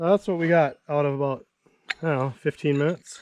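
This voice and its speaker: The man talks at a fairly quick pace. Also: dry, close sound with no echo. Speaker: homesteader vlogger. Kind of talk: vlog narration. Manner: casual.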